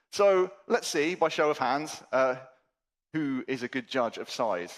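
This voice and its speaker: A man talks at a fairly slow pace with very wide pitch swings. The recording is very clean, with a silent background. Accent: British. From England. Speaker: conference keynote speaker. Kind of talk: conference talk. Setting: stage with audience. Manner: animated.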